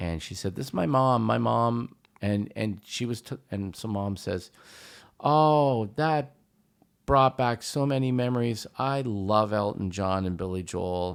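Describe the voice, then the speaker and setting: A man with a Canadian accent and an unremarkable speaking voice, at a fairly slow pace, on a very clean recording with a silent background. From Canada, Hamilton, Ontario. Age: 50s. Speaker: musician, pianist. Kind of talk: casual chat.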